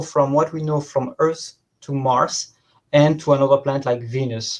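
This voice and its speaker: A man talks with a French accent. His pitch sits fairly high. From southern France. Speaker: professor. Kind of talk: lecture. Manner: halting, many fillers.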